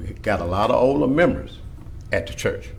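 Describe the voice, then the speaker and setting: A man with a Louisiana accent speaks with audible room echo. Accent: Louisiana Southern US. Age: 60s. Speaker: church member opposing request. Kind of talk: public hearing testimony.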